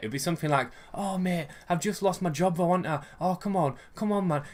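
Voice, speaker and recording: With a West Yorkshire accent, a man speaks at a very fast pace in an animated tone. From West Yorkshire, England. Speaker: vlogger. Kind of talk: casual rant vlog.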